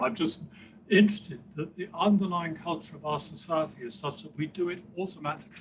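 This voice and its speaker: A man talks at a fairly quick pace with a high pitch. Audible room echo is present. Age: 70s. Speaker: professor of rehabilitation. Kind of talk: Q&A discussion after a talk. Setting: conference session with audience.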